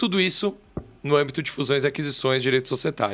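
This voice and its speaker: In a São Paulo accent, a man speaks with a bright, sharp tone and ordinary pitch variation. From Brazil, São Paulo city. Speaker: corporate lawyer. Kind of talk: podcast interview. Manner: halting, with many fillers.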